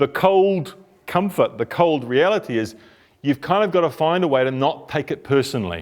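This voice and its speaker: With a New Zealand accent, a man speaks at a moderate pace in a fairly high pitch with lively intonation. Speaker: couples therapist giving a talk. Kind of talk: talk to a group. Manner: animated.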